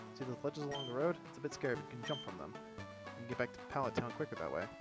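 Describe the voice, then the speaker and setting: A man at a medium pitch, very fast and lively in intonation, with music in the background. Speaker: let's play gamer. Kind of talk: reading game dialogue aloud. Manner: soft-spoken.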